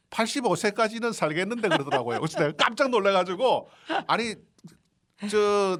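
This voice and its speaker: This man talks at a fairly quick pace in a high pitch. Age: 70s. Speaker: graphic designer and painter. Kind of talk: radio interview. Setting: radio studio.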